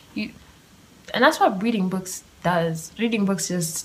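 Noticeable background noise sits behind a woman speaking at medium pitch. She goes at a fairly slow pace with ordinary pitch variation. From Kenya. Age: 20s. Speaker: podcast host. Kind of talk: solo monologue. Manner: casual, laughing often.

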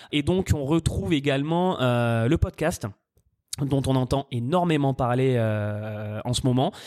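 This man speaks at a very slow pace with a medium pitch. His pitch varies in an ordinary way, and the sound is dry and close with no echo. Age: 30s. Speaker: adtech startup founder, former radio ad salesman. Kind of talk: interview. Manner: hesitant with fillers.

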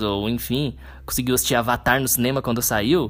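A man talks at a medium pitch. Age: 20s. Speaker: podcaster. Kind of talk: casual solo podcast monologue. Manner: unscripted, conversational with fillers.

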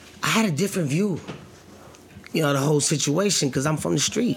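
There is noticeable background noise behind this man. His pitch is fairly high and his intonation lively. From New Jersey. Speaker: actor. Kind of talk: casual interview. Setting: studio.

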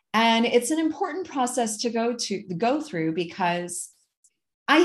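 A somewhat breathy woman with an American accent and a fairly high voice speaks fairly slowly, her pitch swinging very widely, against a quiet background. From US Midwest (Ann Arbor, Michigan). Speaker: accountant and finance advisor. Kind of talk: casual interview chat.

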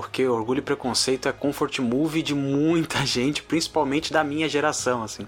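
Speaking at a moderate pace with hardly any pauses, a man keeps his fairly high voice fairly even in intonation. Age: 20s. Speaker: podcast host. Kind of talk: casual chat.

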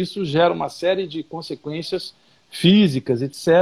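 A man's high-pitched voice moves at a fairly slow pace, its intonation lively. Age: 50s. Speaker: artist. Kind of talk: casual interview. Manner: talkative.

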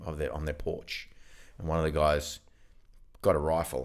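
A man with a very deep, low pitch and an Australian accent. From Australia, far north Queensland. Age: 40s. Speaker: podcast co-host. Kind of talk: casual chat. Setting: studio.

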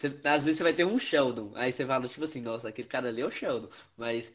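Over a quiet background, a man speaks at a very fast pace with a medium pitch and ordinary pitch variation. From northern Minas Gerais, Brazil. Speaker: podcast co-host, physics student. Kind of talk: casual chat.

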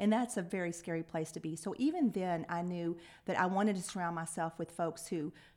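This woman speaks with a Texan accent and fairly even intonation. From Lubbock, West Texas. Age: 50s. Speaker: nonprofit CEO. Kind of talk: interview.

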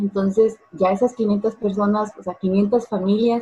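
Speaking at a very slow pace, a woman uses a medium-pitched, somewhat breathy voice with a dark, mellow tone and fairly even intonation. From Guatemala. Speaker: businesswoman and cosplayer. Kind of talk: online interview.

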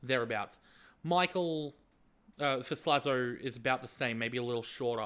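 On a very clean recording with a silent background, the voice carries an Australian accent at a moderate pace with ordinary pitch variation. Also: man, medium pitch for a man. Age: 20s. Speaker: YouTube video editor. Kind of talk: casual chat.

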